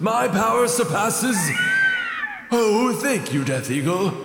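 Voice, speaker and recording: A man puts on a high-pitched character voice, heard with a slight echo and clear background noise. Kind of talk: comic overacting. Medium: audio drama.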